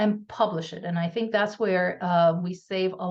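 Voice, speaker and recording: A somewhat breathy woman's voice at a medium pitch, with fairly even intonation and a moderate pace. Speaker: audio company research executive. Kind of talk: webinar presentation. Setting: video webinar.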